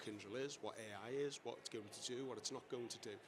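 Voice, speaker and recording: A man speaks at a very fast pace with a Liverpool accent, his pitch medium. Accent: Liverpool (Scouse). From Liverpool, England. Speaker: engineering director. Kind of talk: panel discussion. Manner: halting, many repetitions.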